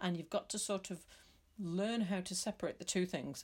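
A woman with vocal fry and an English accent, in a very clean recording with a silent background. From England. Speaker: podcaster. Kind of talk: personal vlog monologue.

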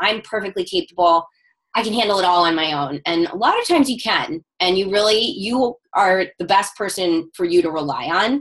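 A woman with a plain, everyday voice talks at a moderate pace in a medium pitch. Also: lively intonation. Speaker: stylist and fashion entrepreneur. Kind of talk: casual interview chat. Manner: run-on, with frequent um fillers.

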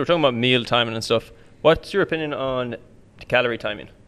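Speaking at a very fast pace, a man keeps a medium pitch. His pitch variation is ordinary. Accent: Irish. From Ireland. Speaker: personal trainer. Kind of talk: casual chat. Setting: studio.

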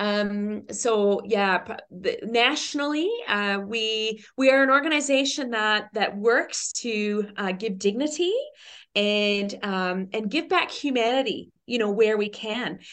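Very slowly, a woman speaks with a fairly high pitch and ordinary pitch variation. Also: quiet background. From Newfoundland, Canada. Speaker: pastor. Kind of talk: casual interview chat.

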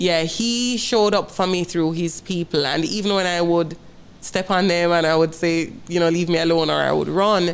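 A woman speaks at a moderate pace with a Jamaican accent and a fairly low pitch. Her loudness stays very even, and her intonation is fairly even. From Jamaica, Kingston. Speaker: school principal. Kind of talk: personal testimony in interview. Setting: studio set.

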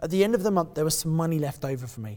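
Very fast speech with lively intonation in a southern English accent. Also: man. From southeast England (Kent). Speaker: property investor and coach. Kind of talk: interview. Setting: event venue.

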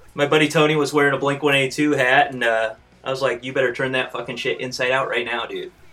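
Against noticeable background noise, a man delivers his words at a very fast pace in a medium pitch with monotone, flat intonation. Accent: American. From Fort Wayne, Indiana, US Midwest. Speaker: punk band musician. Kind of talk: casual chat.

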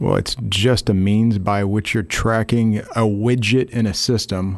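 The background is quiet as a man speaks at a fairly slow pace in an unremarkable speaking voice. His pitch is fairly low and his intonation fairly even. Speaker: software platform representative. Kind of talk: casual business interview. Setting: studio.

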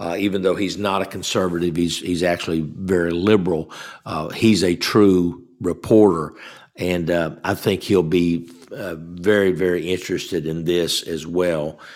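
In a Southern US accent, a man with a very deep, low pitch speaks at a moderate pace in a flat monotone. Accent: US South. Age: 60s. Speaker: guest radio host. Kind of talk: political talk show monologue. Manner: halting, many fillers.

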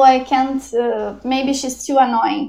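A woman with a Portuguese accent, high pitch, and dark, mellow tone, at a very slow pace. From southern Brazil, Porto Alegre. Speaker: film director. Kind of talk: interview. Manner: hesitant, many fillers.

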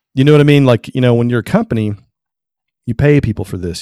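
Speaking with a Southern US accent, a man uses ordinary pitch variation. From Tennessee. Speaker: photographer. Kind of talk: interview.

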